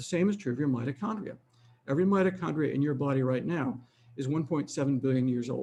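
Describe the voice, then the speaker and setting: Somewhat breathy, a man speaks at a very fast pace. His pitch is fairly high, with ordinary variation. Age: 70s. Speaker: physician and aging researcher. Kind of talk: lecture. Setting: webinar.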